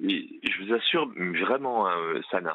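A man is speaking. His pace is very slow. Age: 50s. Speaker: police officer calling a radio show. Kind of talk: phone-in testimony. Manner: halting, many hesitations.

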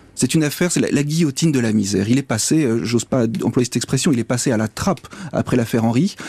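Very fast, lively male speech at a medium pitch, against noticeable background noise. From northern France, near Douai. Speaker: magistrate and author. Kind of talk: interview. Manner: halting.

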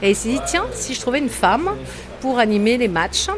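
Moderate pace and lively intonation, set against background music. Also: woman. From northern France (Lille area). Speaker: stadium announcer, former radio host. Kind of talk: interview testimony.

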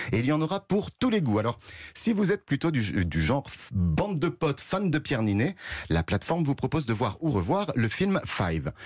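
The voice has vocal fry and very wide pitch swings, with very even loudness at a moderate pace. The background is quiet. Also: man, fairly high pitch for a man. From France, Nièvre. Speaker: culture news columnist. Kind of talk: radio news segment.

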